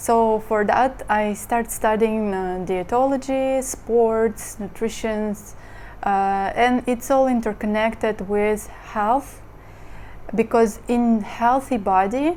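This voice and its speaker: A woman with a Russian accent speaks at a very slow pace, using a fairly high pitch, a dark, mellow tone and fairly even intonation. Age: 30s. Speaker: model and lifestyle vlogger. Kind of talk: casual monologue vlog. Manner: hesitant, many fillers.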